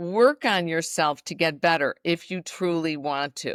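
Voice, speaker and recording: A woman talks with an American accent in a fairly low pitch. The recording is very clean with a silent background, dry and close with no echo. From US Midwest. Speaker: fitness entrepreneur and former dancer. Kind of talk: podcast interview.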